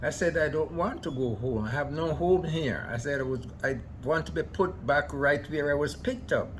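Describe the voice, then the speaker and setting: Room echo is audible as a man talks at a moderate pace with ordinary pitch variation. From Jamaica. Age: 90s. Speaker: immigrant elder. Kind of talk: interview storytelling.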